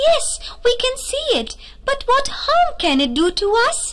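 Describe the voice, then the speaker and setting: A woman puts on a squeaky, cartoonish character voice at an extremely high pitch. She goes at a fairly slow pace with very wide pitch swings over light background noise. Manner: doubtful, dismissive.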